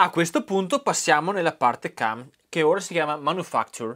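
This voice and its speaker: At a moderate pace, the animated voice swings very widely in pitch against a quiet background. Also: man. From Italy. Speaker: YouTube maker and tutorial host; tutorial host. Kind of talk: tutorial. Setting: garage workshop. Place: workshop.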